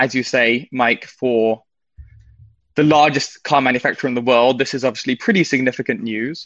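A man with a British accent speaks at a moderate pace, medium in pitch, with fairly even intonation. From Britain. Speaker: financial writer. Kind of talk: market news chat.

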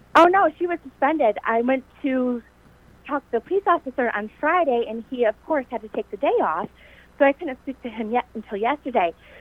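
Over noticeable background noise, a woman speaks at a fairly quick pace with high pitch and lively intonation. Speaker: parent of injured student. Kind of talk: phone call telling her story. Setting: phone call.

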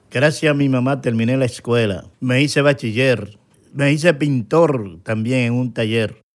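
The recording is very clean, with a silent background. A man with a medium pitch and ordinary pitch variation speaks at a fairly slow pace in an ordinary speaking voice. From Dominican Republic, Santo Domingo. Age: young. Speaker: interview guest, painter. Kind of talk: personal testimony interview.

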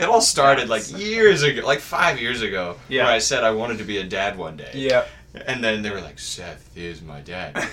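A man speaks at a moderate pace and medium pitch, his pitch swinging very widely and his loudness rising and falling sharply. Noticeable background noise sits behind him. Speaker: college student. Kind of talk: casual chat.

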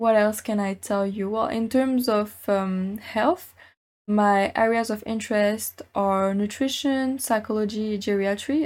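A plain, everyday voice in an American accent, fairly slow and fairly even in intonation, on a very clean recording with a silent background. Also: woman. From France, then Mexico, US, Germany. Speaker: podcast host. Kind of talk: solo podcast monologue.

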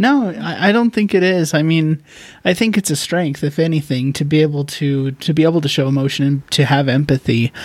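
Moderately paced speech from a man with an unremarkable speaking voice, fairly high-pitched and lively in intonation. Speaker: podcast host. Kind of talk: casual interview chat.

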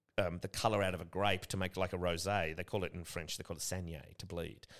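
A man with an Australian accent talks at a very fast pace in a very deep, low pitch. His intonation is fairly even, and the recording is very clean with a silent background. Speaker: gin distillery co-founder. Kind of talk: casual chat.

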